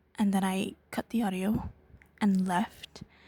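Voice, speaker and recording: A woman's somewhat breathy, medium-pitched voice with a dark, mellow tone and fairly even intonation. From Caribbean. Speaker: digital artist and YouTuber. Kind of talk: casual rant monologue. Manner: hesitant, many filler ums.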